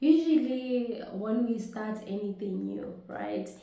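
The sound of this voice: A woman talks at a slow pace in a fairly high, dark and mellow voice with very wide pitch swings, amid strong room echo.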